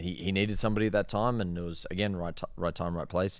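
On a very clean recording with a silent background, a man with an Australian accent speaks at a very fast pace with fairly even intonation. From Australia, Sydney. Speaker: rope access instructor. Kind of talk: casual interview.

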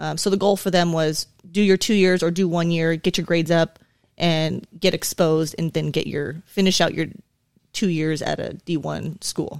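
In an American accent, a woman talks at a moderate pace with a fairly low pitch. Her intonation is monotone and flat, and the sound is dry and close with no echo. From Southern California. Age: 40s. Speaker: police sergeant. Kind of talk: casual interview. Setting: studio.

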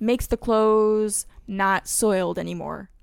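A playful tone with ordinary pitch variation on a very clean recording with a silent background. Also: woman. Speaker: podcast co-host. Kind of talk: casual chat, word game. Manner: playful, laughs often.

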